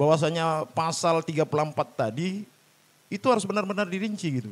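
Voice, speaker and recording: A man talks at a very fast pace. He has a Medan accent. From Indonesia, Medan (North Sumatra). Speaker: labor activist and party candidate. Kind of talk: podcast interview. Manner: halting, many fillers.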